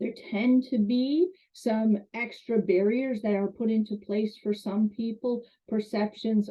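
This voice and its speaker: A woman talks in a normal speaking voice at a medium pitch, with fairly even intonation. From Canada. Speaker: college instructor. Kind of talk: lecture.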